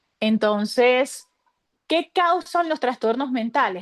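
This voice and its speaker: A woman speaks at a high pitch against a quiet background, the sound dry and close with no echo. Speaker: mental health speaker. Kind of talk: online workshop talk.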